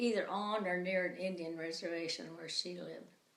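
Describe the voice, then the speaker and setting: A woman with an American accent speaks at a fairly low pitch with fairly even intonation. Room echo is audible. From US Upper Midwest, rural Minnesota. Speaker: interviewee. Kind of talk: casual chat.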